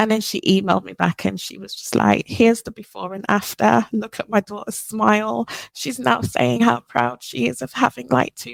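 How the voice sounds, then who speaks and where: Her voice sits fairly low and carries vocal fry. This woman's pitch swings very widely. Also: dry, close sound with no echo. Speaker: hair care brand founder. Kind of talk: podcast interview.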